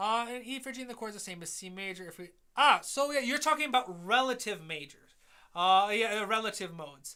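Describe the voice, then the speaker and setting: A man's raised, projected voice in a Midwestern accent, high-pitched with a bright, sharp tone, lively intonation, big swings in loudness and a fairly quick pace. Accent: nasal Midwestern. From US Midwest. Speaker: music composer and educator. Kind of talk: live stream feedback and Q&A. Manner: fast.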